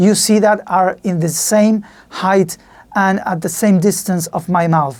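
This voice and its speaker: Speaking with a Spanish accent at a fairly slow pace, a woman keeps a medium pitch with ordinary pitch variation. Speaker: podcaster reviewing audio gear. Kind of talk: tutorial. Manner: halting.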